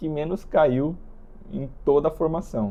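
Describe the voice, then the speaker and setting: A dark, mellow tone with ordinary pitch variation. The pace is fairly slow. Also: man. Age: 20s. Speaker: vlogger. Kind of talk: casual monologue. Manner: halting.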